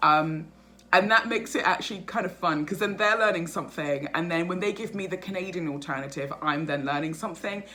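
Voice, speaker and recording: Over noticeable background noise, a woman with a British accent speaks at a fairly quick pace in an animated tone with ordinary pitch variation. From England, North London. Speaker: vlogger. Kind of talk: casual vlog monologue. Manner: fast.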